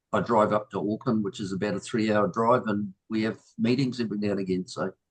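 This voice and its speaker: A man with a New Zealand accent talks at a very fast pace and fairly low pitch. The sound is dry and close, with no echo. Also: ordinary pitch variation. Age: 70s. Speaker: new group member. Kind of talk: personal introduction. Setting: video call. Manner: halting.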